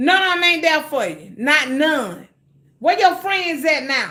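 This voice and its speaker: Raising and projecting her voice, a woman speaks at a fairly slow pace with a high pitch and an animated tone. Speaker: cooking livestreamer. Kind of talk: casual livestream chat. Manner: loud.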